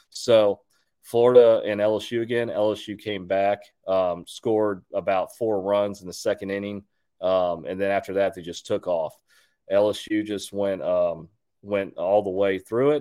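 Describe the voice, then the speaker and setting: On a very clean recording with a silent background, a man with an unremarkable speaking voice talks at a moderate pace, fairly low in pitch, with fairly even intonation. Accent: American. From Texas, Houston. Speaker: podcast host. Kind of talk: solo sports commentary. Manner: casual, many fillers.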